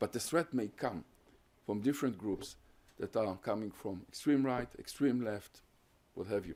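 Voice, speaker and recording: This man has a Hungarian accent and a medium pitch. He talks at a moderate pace with ordinary pitch variation and long, frequent pauses. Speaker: professor. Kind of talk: lecture Q&A. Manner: halting.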